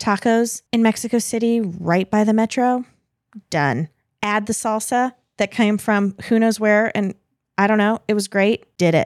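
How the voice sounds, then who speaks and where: In a very clean recording with a silent background and a dry, close sound with no echo, a woman with an American accent uses a normal speaking voice, fairly high in pitch, at a fairly slow pace with fairly even intonation and very even loudness. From United States. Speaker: podcast guest. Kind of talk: storytelling in casual chat.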